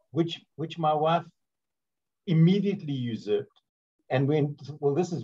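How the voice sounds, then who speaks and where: A man's voice comes across dark and mellow, somewhat breathy. He speaks at a moderate pace with a fairly high pitch. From South Africa, Port Elizabeth; South Africa. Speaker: interviewer and radio host; interviewer, radio host. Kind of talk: casual interview chat. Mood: warm, jokey, anecdotal. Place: home room. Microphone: video call.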